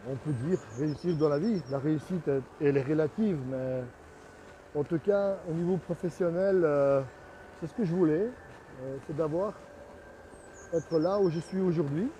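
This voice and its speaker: The speaker has a non-native accent and talks at a fairly slow pace with long, frequent pauses. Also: man, fairly high pitch for a man, ordinary pitch variation. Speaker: artist and sculptor, studio owner. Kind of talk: casual video commentary on own work. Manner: halting, with many hesitations.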